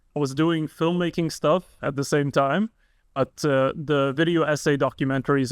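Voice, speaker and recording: A man with an Arabic accent speaks at a moderate pace and fairly even intonation. The sound is dry and close with no echo over a quiet background. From Lebanon. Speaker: YouTuber and video editor. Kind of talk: casual podcast chat.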